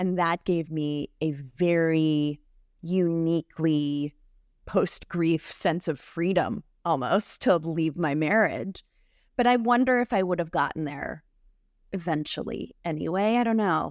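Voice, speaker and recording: A woman speaks at a fairly slow pace in a fairly low pitch with ordinary pitch variation, an ordinary speaking voice. The recording is very clean, with a silent background. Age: 30s. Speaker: grief support specialist. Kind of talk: interview conversation, personal story.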